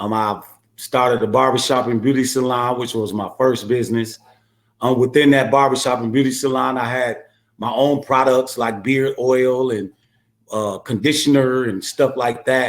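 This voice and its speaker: At a moderate pace, a man with an American accent speaks at medium pitch in a monotone, flat intonation. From US Midwest, Milwaukee, Wisconsin. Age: 50s. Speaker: entrepreneur, former prisoner. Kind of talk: interview. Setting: podcast. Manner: hesitant, many 'um's.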